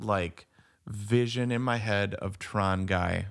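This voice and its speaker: A man's fairly low voice, at a very slow pace and with fairly even intonation. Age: 40s. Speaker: podcast co-host. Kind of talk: casual chat. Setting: remote recording.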